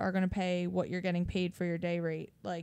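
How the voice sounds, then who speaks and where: In a Philadelphia accent, a woman talks at a fairly quick pace. The recording is very clean and the background silent. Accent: Delco (Philadelphia area). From Delaware County, Pennsylvania (Philadelphia area). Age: 20s. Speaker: hairstylist and clothing brand founder. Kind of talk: casual chat. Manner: animated.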